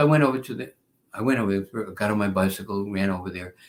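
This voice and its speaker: On a very clean recording with a silent background, a man with a New York accent speaks at a fairly quick pace in an animated tone, his fairly low pitch showing ordinary pitch variation. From New York (Bronx, Long Island). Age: 70s. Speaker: spiritual teacher and devotee. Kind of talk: interview storytelling.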